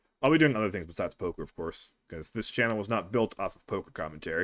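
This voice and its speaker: Speaking very fast with lively intonation, a man with a fairly low pitch swings widely in loudness. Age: 20s. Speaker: poker commentator. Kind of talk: live commentary. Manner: casual, conversational.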